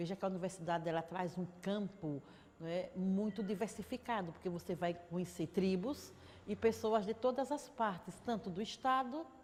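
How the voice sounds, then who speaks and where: The speech moves at a moderate pace, somewhat breathy, with ordinary pitch variation. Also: woman, medium pitch for a woman. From Sergipe, Brazil (Aracaju from age nine). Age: 60s. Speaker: city councillor, teacher and trade unionist. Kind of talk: interview testimony.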